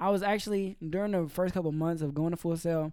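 Talking at a very fast pace, a man with an American accent has a dark, mellow tone, a fairly high pitch, and fairly even intonation. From Georgia, US South. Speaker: hip-hop artist and audio engineer. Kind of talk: casual interview chat.

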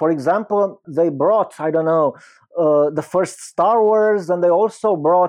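Against a quiet background, a man with a Romanian accent speaks at a high pitch and a fairly slow pace. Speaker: film critic and academic. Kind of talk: interview.

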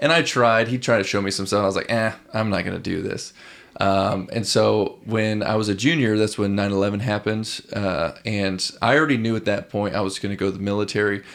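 A man with an American accent talks at a fairly quick pace, his intonation fairly even. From rural Illinois, US Midwest. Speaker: military veteran, nonprofit founder. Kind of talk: casual interview chat.

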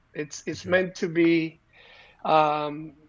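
The speaker talks at a fairly slow pace. They have a Spanish accent. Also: man. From Puerto Rico, of Cuban descent. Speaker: entrepreneur. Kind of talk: interview.

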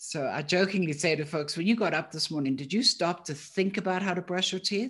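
With a South African accent, the speaker goes at a fairly quick pace with hardly any pauses. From South Africa, Johannesburg. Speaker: thinking coach, company founder. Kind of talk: interview conversation.

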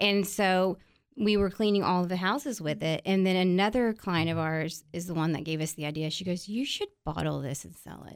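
An unremarkable speaking voice with an American accent and ordinary pitch variation. The loudness swings widely. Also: woman, medium pitch for a woman, moderate pace, very clean recording, silent background. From Texas, San Antonio. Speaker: cleaning products entrepreneur. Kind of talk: casual interview.

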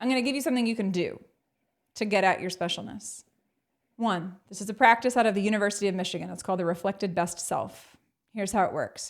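A woman talks at a very fast pace in a medium pitch. Her tone is confident and energetic, with ordinary pitch variation. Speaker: motivational speaker. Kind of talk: casual interview. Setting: video call.

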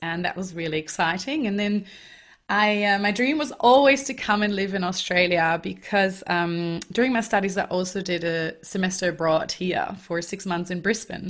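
A woman with a German accent, medium pitch, ordinary pitch variation and a moderate pace. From Germany. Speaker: life coach. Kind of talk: interview. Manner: energetic.

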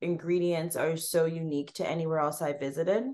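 A woman with a Canadian accent speaks in an ordinary speaking voice at a moderate pace, her pitch fairly low, against a quiet background. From Canada, Toronto. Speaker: food blogger and recipe developer. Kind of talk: casual interview.

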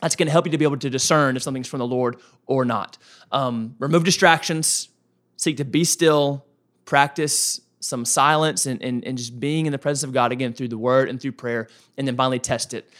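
In a very clean recording with a silent background, a man with a normal speaking voice and medium pitch talks at a fairly quick pace with fairly even intonation. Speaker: pastor and podcast co-host. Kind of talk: casual podcast chat on faith. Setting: studio.

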